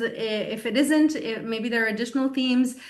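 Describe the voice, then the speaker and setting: A woman with a high pitch and fairly even intonation, amid audible room echo. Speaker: webinar moderator. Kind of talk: online town hall moderation.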